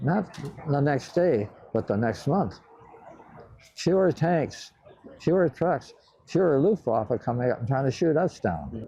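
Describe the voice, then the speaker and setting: Fairly slow and broken by long, frequent pauses, a man's speech in a Midwestern accent has lively intonation and very even loudness. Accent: American Midwest. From Cleveland, Ohio. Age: 80s+. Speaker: World War II bomber pilot. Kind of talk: interview answer. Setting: museum hangar.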